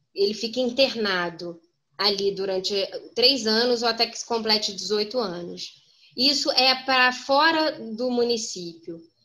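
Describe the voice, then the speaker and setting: Bright and sharp in tone, a woman speaks fairly slowly at a fairly high pitch, with ordinary pitch variation. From Brazil, Petrópolis (Rio de Janeiro state). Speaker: lawyer and council candidate. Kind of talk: political Q&A interview. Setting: video call.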